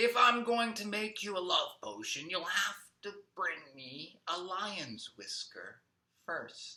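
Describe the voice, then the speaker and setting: At a fairly slow pace, a man uses a put-on character voice pitched high. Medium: read story. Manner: calm, knowing.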